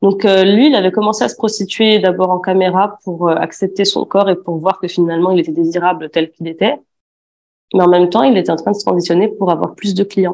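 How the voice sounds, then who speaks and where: Someone speaks at a fairly quick pace with fairly even intonation. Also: woman, medium pitch for a woman. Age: 20s. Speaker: former aesthetic clinic assistant. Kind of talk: testimony. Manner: hesitant, many fillers.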